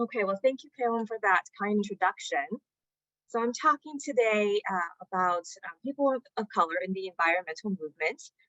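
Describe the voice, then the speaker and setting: A woman talks at a fairly quick pace. Her pitch is fairly high and her intonation lively. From China, Shanghai; moved to US at nine. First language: Chinese. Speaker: climate advocate and researcher. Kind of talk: conference presentation. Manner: hesitant with many fillers.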